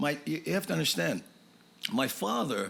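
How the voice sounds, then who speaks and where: Noticeable background noise sits behind the recording. A man talks at a moderate pace. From Hawaii, Waianae (Oahu). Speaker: stand-up comedian. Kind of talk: casual interview chat.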